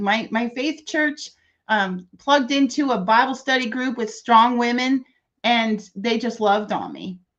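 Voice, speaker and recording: A woman speaks at a high pitch. Her pitch varies in an ordinary way. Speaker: entrepreneur and author. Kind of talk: interview. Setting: live video stream. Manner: fast.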